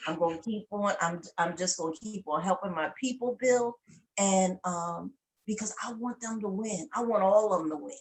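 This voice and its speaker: Using an ordinary speaking voice, a woman with a medium pitch talks at a moderate pace with ordinary pitch variation. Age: 60s. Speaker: network marketing member, military veteran. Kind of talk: testimony interview.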